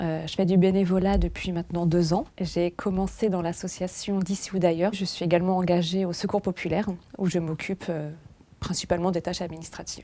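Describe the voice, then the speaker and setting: A woman with a fairly low pitch and dark, mellow tone speaks at a fairly quick pace in monotone, flat intonation. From France. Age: 20s. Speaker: volunteer. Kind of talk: documentary testimony.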